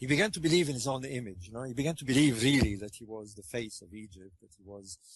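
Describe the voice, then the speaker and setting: Somewhat breathy, a man speaks with a French accent. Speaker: author on ancient Egypt. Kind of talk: interview. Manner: halting, many fillers.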